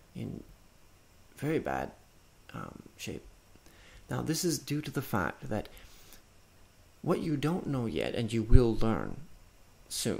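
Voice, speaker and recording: Talking at a very slow pace, a man shows vocal fry and very wide pitch swings. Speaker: indie game developer. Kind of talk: game walkthrough narration. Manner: halting, many fillers.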